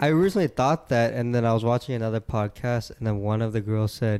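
A man with an ordinary speaking voice and medium pitch talks at a moderate pace. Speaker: podcast host. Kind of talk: casual chat.

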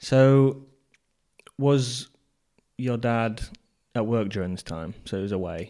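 Speaking very slowly with long, frequent pauses, a man with an English accent is heard in a very clean recording with a silent background. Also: medium pitch for a man, ordinary pitch variation. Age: 20s. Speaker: podcast host. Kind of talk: casual chat.

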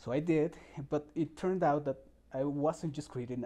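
A man with a Spanish accent, a fairly high pitch and a dark, mellow tone talks at a moderate pace with ordinary pitch variation. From Mexico, Puebla. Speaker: summer camp staff member. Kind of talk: interview. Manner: halting.

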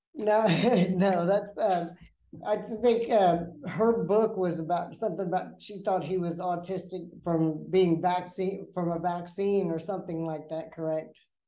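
There is audible room echo around a woman with a fairly low pitch. She speaks at a fairly slow pace with fairly even intonation. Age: 60s. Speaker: registered nurse. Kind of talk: casual health interview.

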